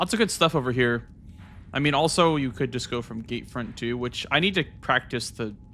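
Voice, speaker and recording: Music plays in the background. A man with an American accent talks at medium pitch and a moderate pace, with ordinary pitch variation. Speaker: video game streamer. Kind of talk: casual live-stream commentary. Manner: casual, animated.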